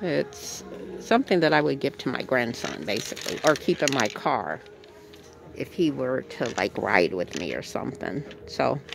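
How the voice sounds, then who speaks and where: With music in the background, a woman speaks in a dry sound with no echo. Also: moderate pace. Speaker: thrift shopping vlogger. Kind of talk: casual vlog chat. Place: shop. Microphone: phone near.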